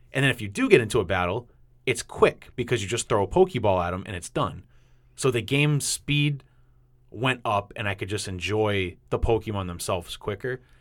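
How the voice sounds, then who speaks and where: Heard on a very clean recording with a silent background, a man with a New England accent speaks with ordinary pitch variation. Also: fairly low pitch for a man, moderate pace. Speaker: podcast host. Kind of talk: casual chat.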